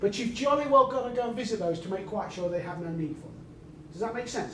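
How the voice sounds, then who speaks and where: There is audible room echo and noticeable background noise. A man speaks with lively intonation. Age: 60s. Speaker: sales trainer. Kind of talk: lecture. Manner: animated.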